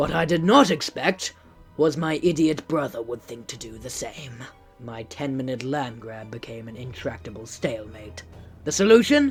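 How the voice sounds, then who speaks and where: A put-on character voice speaks at a moderate pace in a low-to-middle pitch. Music plays clearly in the background. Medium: dub.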